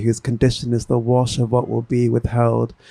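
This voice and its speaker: The dark, mellow voice holds a monotone, flat intonation at a moderate pace, recorded dry and close with no echo. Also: man. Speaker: poet. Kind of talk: poetry reading. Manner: soft-spoken.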